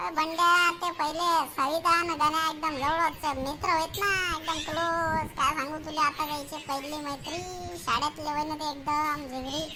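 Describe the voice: Speaking at a moderate pace in a cartoonish character voice, a woman is heard over clear background noise.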